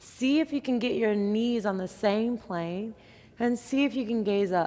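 A woman speaks at a fairly slow pace. Her pitch varies in an ordinary way. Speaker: yoga instructor. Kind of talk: guided exercise instruction. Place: gym.

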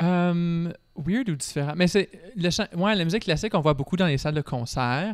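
The background is quiet as a man speaks. He keeps a moderate pace with ordinary pitch variation. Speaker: classical singer and student. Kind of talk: casual chat. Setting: brewery. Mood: relaxed, friendly. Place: factory. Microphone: handheld.

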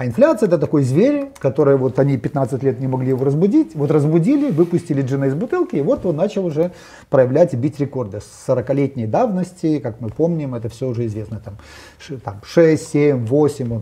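The voice is somewhat breathy, with a dark, mellow tone. It moves at a moderate pace with lively intonation. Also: man, fairly high pitch for a man. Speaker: economist. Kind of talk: panel discussion on economics. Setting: studio. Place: studio. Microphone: lapel.

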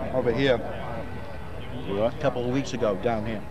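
Against noticeable background noise, a man speaks with fairly even intonation. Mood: relaxed, laughing. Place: open country. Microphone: old recording.

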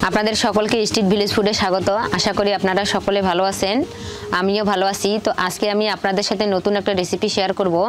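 Over light background noise, a woman speaks with monotone, flat intonation. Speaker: village cooking channel host. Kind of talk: cooking tutorial intro. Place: open country.

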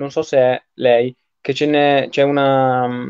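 The intonation stays flat and monotone. The background is quiet. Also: man. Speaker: live-stream host. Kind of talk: casual online interview. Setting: video call. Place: home room. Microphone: handheld.

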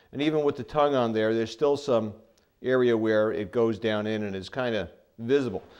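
Ordinary pitch variation and a moderate pace from a man. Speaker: home renovation host. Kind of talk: tutorial. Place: home room. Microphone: lapel.

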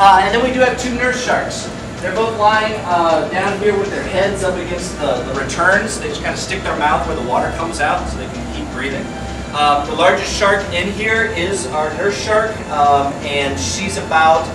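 The speech moves at a moderate pace with ordinary pitch variation, audible room echo and noticeable background noise. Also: man. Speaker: aquarium dive guide. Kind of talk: guided briefing talk. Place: hall. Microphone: camera far.

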